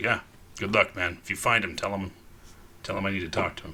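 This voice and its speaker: Putting on a character voice, a man speaks very fast in a raspy, fairly low, monotone voice over clear background noise. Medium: actual play. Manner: blunt, wary.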